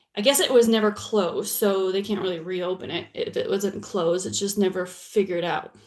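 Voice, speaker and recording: Over noticeable background noise, a woman with a medium pitch talks at a fairly quick pace with fairly even intonation and hardly any pauses. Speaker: realtor vlogging on true crime. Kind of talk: casual vlog monologue. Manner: loud.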